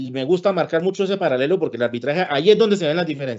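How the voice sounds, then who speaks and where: The speaker has a Santander Colombian accent. The intonation is lively. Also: man. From Colombia, Santander. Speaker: lawyer and arbitrator giving a talk. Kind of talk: lecture. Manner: blunt, sometimes heard as scolding.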